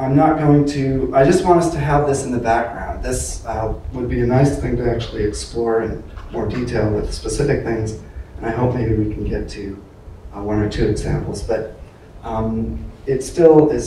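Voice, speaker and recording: A man talks at a moderate pace with ordinary pitch variation. Light background noise and audible room echo are present. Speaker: lecturer. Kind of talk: lecture. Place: hall.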